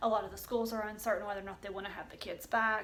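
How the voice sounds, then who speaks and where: Speaking in a Southern Appalachian accent, a woman with a fairly high pitch delivers monotone, flat intonation amid audible room echo. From US South, East Tennessee. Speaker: homeschooling vlogger. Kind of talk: casual tutorial. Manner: chatty, with fillers.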